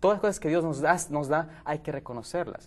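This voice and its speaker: This man's voice sits at a fairly high pitch with ordinary pitch variation. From Ecuador, Quito. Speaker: educator and evangelist. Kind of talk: panel discussion. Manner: halting. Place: studio. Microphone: lapel.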